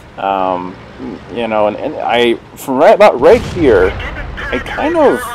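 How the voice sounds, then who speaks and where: A man speaks at a very slow pace. There is noticeable noise in the background. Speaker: gaming video commentator. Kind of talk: gameplay commentary. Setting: mic too close, poor audio. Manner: casual, hesitant with fillers.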